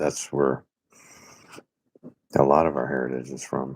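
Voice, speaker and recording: Speaking with an American accent, a man has a very deep, low pitch. His pace is moderate. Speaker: fellow YouTuber. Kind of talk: casual chat. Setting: live stream.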